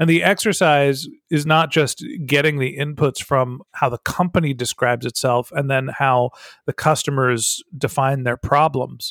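A man with a normal speaking voice talks at a fairly high pitch, a moderate pace and fairly even intonation, on a very clean recording with a silent background and a dry, close sound with no echo. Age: 40s. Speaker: marketing consultant and podcast host. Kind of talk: interview.

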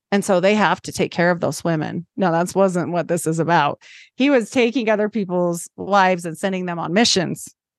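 A woman with an American accent speaks in a normal speaking voice at a moderate pace and medium pitch, against a quiet background. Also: dry, close sound with no echo. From Idaho, US. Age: 40s. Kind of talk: casual interview.

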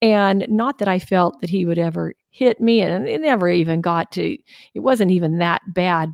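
A woman at a medium pitch uses an unremarkable speaking voice with ordinary pitch variation and a moderate pace. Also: dry, close sound with no echo. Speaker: married couple podcast co-host. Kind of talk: casual conversation.

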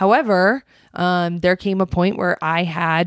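In a very clean recording with a silent background and a dry, close sound with no echo, a woman with an unremarkable speaking voice talks fairly slowly at a fairly low pitch with fairly even intonation. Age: 30s. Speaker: podcast co-host. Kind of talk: casual chat.

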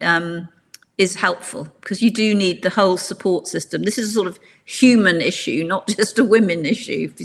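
Speaking in a normal speaking voice, a woman keeps a moderate pace at medium pitch while her pitch varies in an ordinary way. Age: 60s. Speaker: executive coach. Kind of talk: interview.

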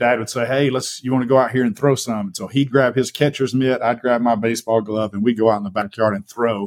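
Speaking very fast with hardly any pauses, a man with an Alabama accent holds a medium pitch and fairly even intonation on a very clean recording with a silent background. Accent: Southern US (Alabama). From US South. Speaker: fitness coach and podcast co-host. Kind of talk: casual interview about life story.

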